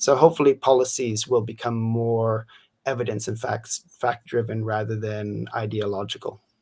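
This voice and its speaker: The voice is somewhat breathy and moves at a moderate pace. The recording is very clean, with a silent background. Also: man, medium pitch for a man, fairly even intonation. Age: 50s. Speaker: science policy commentator. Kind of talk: live interview.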